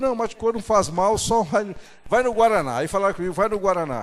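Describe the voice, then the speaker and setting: A man is the speaker. His pace is fairly quick. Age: 60s. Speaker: pastor. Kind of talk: sermon.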